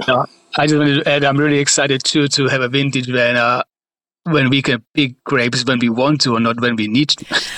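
A man's medium-pitched voice with a Czech accent, bright and sharp in tone, monotone and flat, at very even loudness, in a dry, close sound with no echo. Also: fairly quick pace. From Czech Republic. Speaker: wine manager. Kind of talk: interview.

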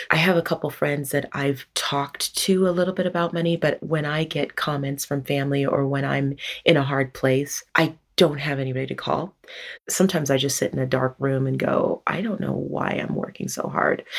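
A woman speaks with a very deep, low pitch and vocal fry. Her pace is fairly quick, with ordinary pitch variation. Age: 40s. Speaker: healthcare worker. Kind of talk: interview, personal money story.

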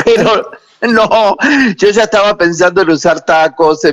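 The speaker is a man with ordinary pitch variation. He talks fairly slowly. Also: dry, close sound with no echo. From Mar del Plata, Argentina. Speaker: drag performer. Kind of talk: casual chat.

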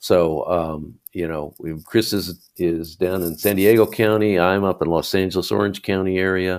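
Barely pausing, a man speaks with a very deep, low pitch. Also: fairly even intonation, moderate pace. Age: 70s. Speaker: magazine writer and fishing advocate.

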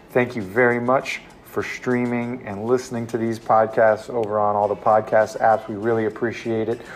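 A man speaks with music playing in the background. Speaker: podcast co-host. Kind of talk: casual podcast chat.

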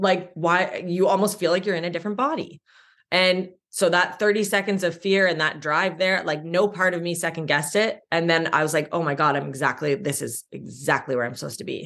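A woman with a Canadian accent speaks in a normal speaking voice, pitched fairly low. She talks at a fairly quick pace with ordinary pitch variation over a quiet background. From Ontario, Canada (small town). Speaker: sobriety coach. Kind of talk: interview about personal recovery story.

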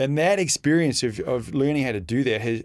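At a fairly quick pace, a man with an Australian accent speaks with ordinary pitch variation. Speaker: freediver. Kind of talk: casual interview.

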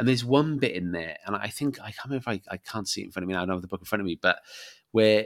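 A medium-pitched male voice in a South Welsh accent, with a dry, close sound with no echo and a very clean recording with a silent background. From Wales (Barry, south Wales). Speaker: author and rugby fan. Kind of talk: casual interview chat.

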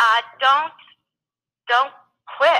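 At a fairly slow pace, a woman talks in a bright, sharp tone. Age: 60s. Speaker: business coach. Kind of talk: interview.

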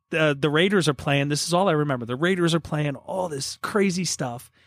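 Heard on a very clean recording with a silent background, a plain, everyday voice with an American accent moves at a moderate pace. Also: man. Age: 40s. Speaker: podcast co-host. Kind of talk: casual chat.

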